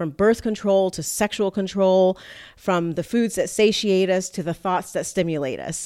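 With an American accent, a woman speaks in a normal speaking voice at a medium pitch. Her pace is moderate and her pitch variation ordinary. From South Florida (Miami / Fort Lauderdale). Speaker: evolutionary psychologist, podcast host. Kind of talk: casual podcast monologue.

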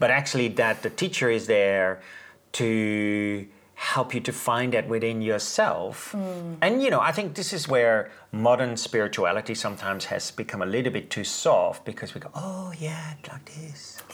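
A man speaks with a Dutch accent. His pitch swings very widely. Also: medium pitch for a man, moderate pace. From Netherlands. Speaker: Reiki teacher and author. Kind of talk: casual interview about spirituality; guided meditation.

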